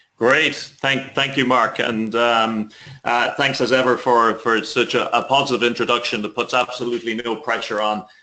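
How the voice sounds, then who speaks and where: A man talks with an Irish accent at a medium pitch. His tone is bright and sharp, and his pace is moderate. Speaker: author and leadership consultant. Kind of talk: webinar presentation. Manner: enthusiastic.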